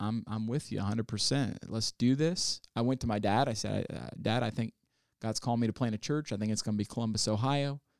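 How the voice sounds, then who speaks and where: In a plain, everyday voice, a man with an American accent talks at a moderate pace and medium pitch with fairly even intonation, recorded very clean, dry and close with no echo against a silent background. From US South, Ozarks. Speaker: pastor, church planter. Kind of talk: interview.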